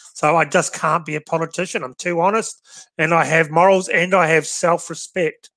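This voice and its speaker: A man with an Australian accent talks at a fairly quick pace in a fairly high pitch, his tone bright and sharp. The sound is dry with no echo, and the background is quiet. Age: 40s. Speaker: shooting podcast host. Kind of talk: casual chat. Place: home room. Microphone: headset.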